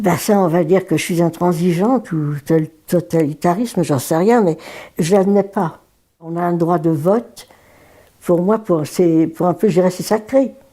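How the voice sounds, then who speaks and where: A woman's fairly low voice with a dark, mellow tone, at a fairly slow pace. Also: ordinary pitch variation. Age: 90s. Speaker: elderly woman recalling first vote. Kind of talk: interview testimony.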